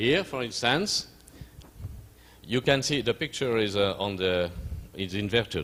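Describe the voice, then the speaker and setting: A man with a French accent, medium pitch and lively intonation, broken by long, frequent pauses. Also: fairly slow pace. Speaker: physician and researcher. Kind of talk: lecture. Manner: halting.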